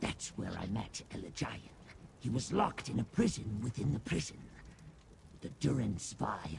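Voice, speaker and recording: Using a put-on character voice, a man at a medium pitch speaks with lively intonation and long, frequent pauses over clear background noise. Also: moderate pace. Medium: video game. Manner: grandiose yet fawning, calls listener master.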